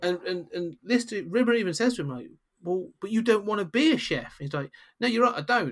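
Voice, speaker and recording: In a British accent, a man with a high pitch talks at a fairly quick pace, his pitch swinging very widely. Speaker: podcast host. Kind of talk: casual podcast chat.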